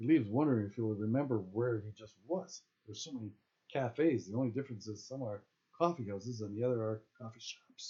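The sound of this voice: Over a quiet background, the speaker uses an unforced reading voice with ordinary pitch variation.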